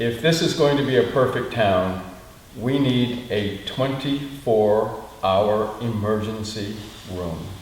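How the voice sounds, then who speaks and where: Amid noticeable background noise and audible room echo, a man speaks very slowly at medium pitch with ordinary pitch variation. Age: 70s. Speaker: community meeting participant. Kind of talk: group discussion.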